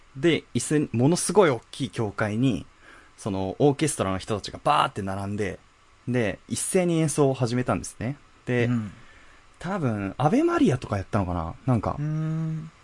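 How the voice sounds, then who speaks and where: This man talks at a moderate pace in a medium pitch, his voice moving through very wide pitch swings. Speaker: podcast co-host. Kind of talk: casual chat.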